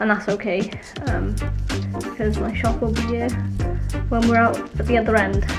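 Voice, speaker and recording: A woman's voice over clear background music. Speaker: woodworker vlogger. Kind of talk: casual vlog chat. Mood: upbeat, reflective. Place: workshop. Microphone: phone near.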